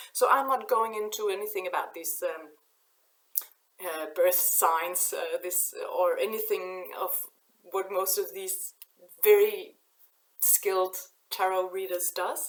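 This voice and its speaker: A woman's Danish accent, fairly slow pace, big swings in loudness, and long, frequent pauses. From Denmark. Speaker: oracle card reader. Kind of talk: spiritual channeling talk to camera. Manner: halting.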